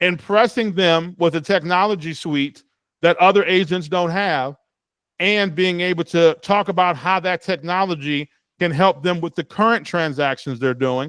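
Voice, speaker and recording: A man with a high voice talks at a moderate pace with ordinary pitch variation, the sound dry and close with no echo. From Cleveland, Ohio, US Midwest. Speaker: real estate trainer. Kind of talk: lecture.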